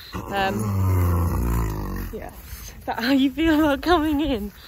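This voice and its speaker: A woman talks over noticeable background noise. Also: dry sound with no echo. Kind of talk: casual vlog chat. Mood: relaxed, cheerful. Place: open country. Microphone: phone near.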